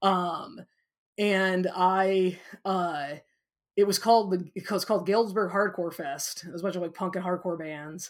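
In a very clean recording with a silent background, a woman with a Midwestern American accent speaks at a medium pitch and moderate pace, her intonation fairly even but her loudness swinging widely. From US Midwest, small-town Illinois. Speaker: physics professor. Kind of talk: interview. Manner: hesitant, many fillers.

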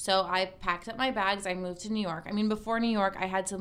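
A woman with an American accent speaks in an ordinary speaking voice at medium pitch, at a fairly quick pace with fairly even intonation. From Massachusetts (Cape Cod). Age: 30s. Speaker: lifestyle blogger and podcaster. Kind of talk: casual interview chat.

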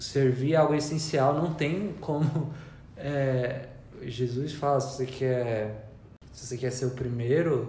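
Soft-spoken and very slow, the voice carries audible room echo. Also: man. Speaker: church member and artist. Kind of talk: testimony. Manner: quiet, soft-spoken.

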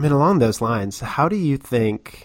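On a very clean recording with a silent background, a man with a plain, everyday voice speaks at a fairly quick pace with ordinary pitch variation. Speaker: podcast host. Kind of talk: interview.

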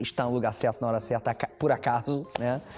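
A man of medium pitch speaks with fairly even intonation amid noticeable background noise. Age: 30s. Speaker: entrepreneur, fashion brand founder. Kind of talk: interview.

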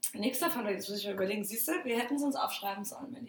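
A woman speaks at a fairly high pitch with ordinary pitch variation. Noticeable background noise runs behind her. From Baden-Württemberg, Germany. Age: 20s. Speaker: podcast co-host, bartender. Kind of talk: casual chat.

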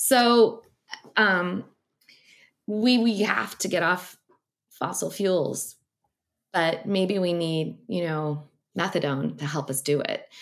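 A woman with an American accent speaks at a very slow pace with fairly low pitch, lively intonation, and long, frequent pauses. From US Midwest (Missouri). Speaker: ocean scientist and science writer. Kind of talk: interview. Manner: halting, many fillers.

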